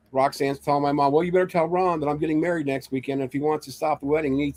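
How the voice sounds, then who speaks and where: A man speaks at a very fast pace, his voice dry and close with no echo, on a very clean recording with a silent background. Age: 60s. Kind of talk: casual chat. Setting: livestream.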